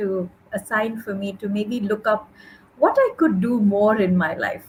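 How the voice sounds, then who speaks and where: At a fairly slow pace, a woman with a plain, everyday voice speaks at a fairly high pitch and with fairly even intonation. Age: 40s. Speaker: podcast host. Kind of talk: interview conversation.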